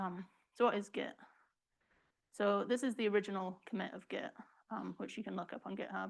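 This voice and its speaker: A woman speaks with vocal fry on a very clean recording with a silent background. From England. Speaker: research software programmer. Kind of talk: tutorial.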